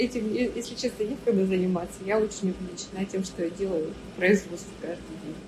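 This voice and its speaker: A woman's voice shows ordinary variation in pitch, with noticeable noise behind her. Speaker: entrepreneur, factory owner. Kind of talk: interview.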